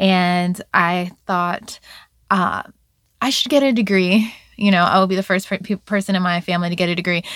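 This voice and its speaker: A woman with an American accent speaks in a normal speaking voice at a medium pitch and moderate pace, her intonation fairly even on a very clean recording with a silent background. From Virginia Beach, Virginia. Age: 30s. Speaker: interviewee telling life story. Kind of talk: life story interview.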